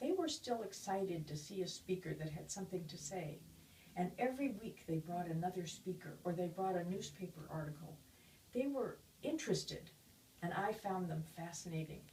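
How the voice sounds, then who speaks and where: A woman's fairly low, somewhat breathy voice with a dark, mellow tone, ordinary pitch variation and a moderate pace. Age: 80s+. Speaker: public speaker on aging. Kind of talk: interview talk.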